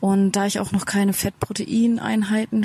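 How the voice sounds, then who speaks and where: A woman speaks at a medium pitch and moderate pace. Her voice is somewhat breathy. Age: 30s. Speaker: former teacher, interviewee. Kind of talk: interview.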